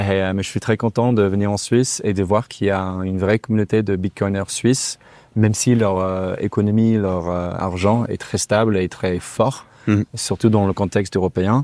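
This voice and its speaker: A man with a fairly low pitch and a dark, mellow tone speaks at a moderate pace with fairly even intonation in a dry sound with no echo. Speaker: interview guest. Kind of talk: interview answer. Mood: relaxed, laughing. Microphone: lapel.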